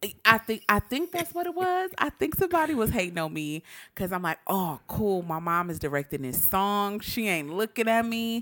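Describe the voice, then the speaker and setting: Delivered at a moderate pace with hardly any pauses, the voice has a bright, sharp tone and very wide pitch swings. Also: woman, medium pitch for a woman, very clean recording, silent background. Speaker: podcast co-host. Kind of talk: casual chat. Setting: home recording at night. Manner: loud; excited.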